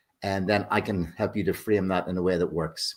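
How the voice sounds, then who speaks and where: A man talks with a Northern Irish accent. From Northern Ireland. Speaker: business consultant. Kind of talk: self-introduction. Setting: video call.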